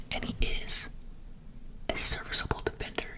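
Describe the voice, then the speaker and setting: Someone is whispering. There is noticeable background noise. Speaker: ASMR creator. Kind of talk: ASMR sports commentary. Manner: whispered.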